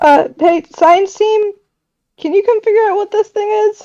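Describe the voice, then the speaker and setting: A woman does a put-on character voice, squeaky and extremely high-pitched, at a moderate pace. The sound is dry and close, with no echo. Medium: actual play.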